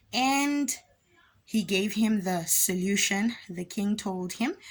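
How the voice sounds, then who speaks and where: A somewhat breathy woman's voice at medium pitch, with ordinary pitch variation, in a very clean recording over a silent background. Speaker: religious storyteller. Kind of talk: casual storytelling.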